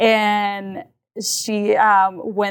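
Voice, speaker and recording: The recording is very clean with a silent background, carrying an unremarkable speaking voice. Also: woman. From Mexico, raised in southwest Kansas from age eight. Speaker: community health leader. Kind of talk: interview. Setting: adult learning center room.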